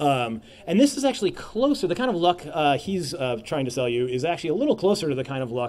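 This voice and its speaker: The speech moves at a very fast pace. Its pitch swings very widely. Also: man. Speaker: game designer giving a conference talk. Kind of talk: lecture. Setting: stage at a conference with audience. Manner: halting, many fillers.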